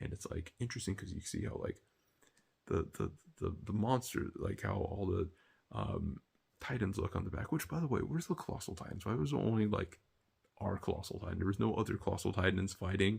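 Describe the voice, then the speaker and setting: Quiet, whispering man with vocal fry at a fairly quick pace. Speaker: anime reaction youtuber. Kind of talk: casual review monologue. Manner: whispering, quiet; hesitant, filler-heavy.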